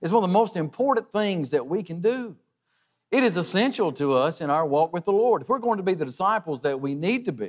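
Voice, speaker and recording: In a quiet setting, a man's speech moves along fairly quickly. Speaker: preacher. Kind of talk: sermon. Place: church.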